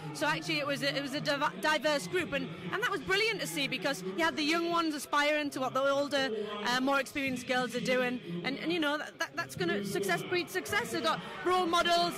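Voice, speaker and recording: A woman's raised, projected voice at a very fast pace, dry with no echo, over clear music in the background. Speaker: national boxing development coach. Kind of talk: interview answer. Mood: upbeat, positive. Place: hall. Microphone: handheld.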